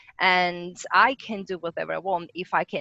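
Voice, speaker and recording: The voice has a bright, sharp tone with a dry, close sound and no echo. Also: woman. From Italy. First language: Italian. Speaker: rocket scientist. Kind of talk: interview.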